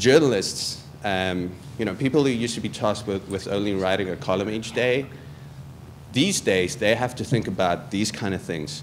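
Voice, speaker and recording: A fairly low-pitched man at a moderate pace, with ordinary pitch variation and noticeable background noise. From South Africa. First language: not English. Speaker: journalism graduate student. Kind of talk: presentation to prospective students. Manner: halting, many repetitions and fillers.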